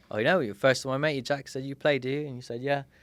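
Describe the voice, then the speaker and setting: Speaking at a very fast pace with a British accent, a man uses a fairly high pitch and ordinary pitch variation. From Britain. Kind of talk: interview answer. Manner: witty, storytelling.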